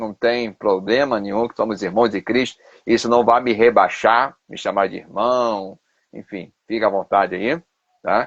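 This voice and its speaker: A man with a Carioca accent at a moderate pace, over a quiet background. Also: dry, close sound with no echo. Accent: Carioca accent, noticeable. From Rio de Janeiro, Brazil. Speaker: pastor and theology professor. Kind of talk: live stream interview. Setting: Instagram live video.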